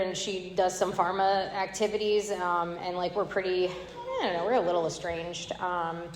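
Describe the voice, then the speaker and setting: Audible room echo and noticeable background noise surround a woman speaking in an American accent. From Tampa, Florida. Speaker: AA speaker. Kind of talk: recovery testimony. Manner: fast; animated.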